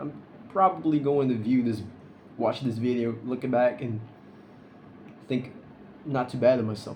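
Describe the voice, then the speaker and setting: Over noticeable background noise, a man at medium pitch talks with long, frequent pauses. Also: ordinary pitch variation, moderate pace. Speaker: vlogger. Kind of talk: casual vlog monologue. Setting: recording alone to camera. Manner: halting, stuttering; unscripted, awkward pauses.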